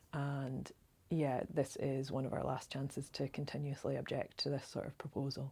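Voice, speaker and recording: With a Scottish accent, the voice is dark, mellow and somewhat breathy, its intonation monotone and flat, on a very clean recording with a silent background. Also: woman, very deep, low pitch for a woman. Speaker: local campaigner. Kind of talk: direct-to-camera appeal. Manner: fast; earnest, many filler ums.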